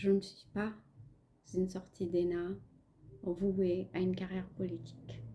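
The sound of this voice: A woman with a Pakistani accent speaks fairly slowly and fairly low. Her tone is dark and mellow, with little pitch movement.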